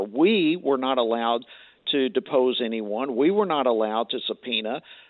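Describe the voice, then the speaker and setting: Speaking with a Southern US accent, a man keeps a moderate pace and lively intonation. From Georgia. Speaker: congressman. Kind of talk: political interview. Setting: phone call. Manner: animated.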